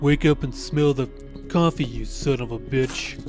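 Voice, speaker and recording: A gravelly put-on character voice, low-to-middle in pitch, at a moderate pace over clear background music. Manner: macho, tough.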